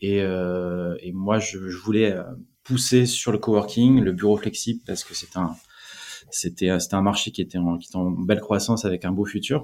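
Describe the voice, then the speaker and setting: Here a man speaks with a fairly low pitch. His pace is moderate and his intonation fairly even. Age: 40s. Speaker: startup founder. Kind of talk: interview. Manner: halting, many repetitions.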